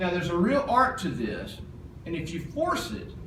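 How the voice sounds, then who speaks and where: There is noticeable background noise in this clip. A man talks at a high pitch. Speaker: auctioneer. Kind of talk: instructional presentation.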